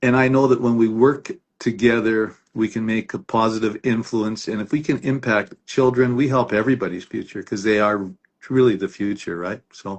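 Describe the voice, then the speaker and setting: A man with a plain, everyday voice speaks at a moderate pace and medium pitch, his intonation fairly even. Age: 50s. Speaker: lawyer. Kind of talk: interview. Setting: livestream.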